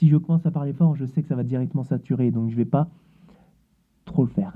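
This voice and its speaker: A man with a fairly high voice at a fairly quick pace. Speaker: tech YouTuber doing experiments. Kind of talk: casual demo video.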